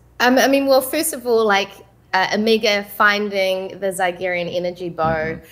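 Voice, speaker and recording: A woman speaks with a New Zealand accent. Her voice is medium in pitch and her pace is moderate. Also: ordinary pitch variation. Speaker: voice actress. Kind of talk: panel interview. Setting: video call.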